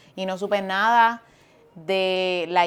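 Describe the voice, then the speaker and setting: Lively intonation with a Puerto Rican accent. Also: woman. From eastern Puerto Rico (Fajardo). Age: 40s. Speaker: pastor. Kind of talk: casual chat.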